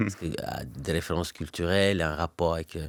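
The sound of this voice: A man's low-pitched voice, fairly quick in pace, with ordinary pitch variation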